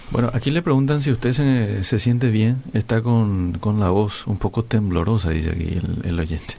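Over noticeable background noise, a man with a fairly low pitch speaks at a moderate pace with lively intonation and hardly any pauses. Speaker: radio host. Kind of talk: radio interview; reading aloud.

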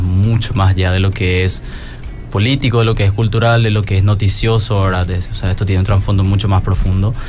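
Over music in the background, a man talks at a fairly quick pace in a fairly low pitch. His intonation is fairly even, with audible room echo. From Paraguay. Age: 20s. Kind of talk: panel discussion.

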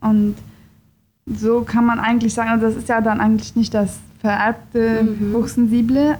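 At a moderate pace, a woman speaks in a dark, mellow tone that is somewhat breathy. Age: 20s. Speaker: psychologist. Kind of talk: interview.

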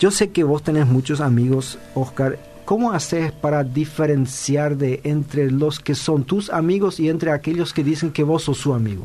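A man with a fairly high pitch and a dark, mellow tone speaks somewhat breathily at a moderate pace, with ordinary pitch variation and very even loudness. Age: 50s. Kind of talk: casual chat.

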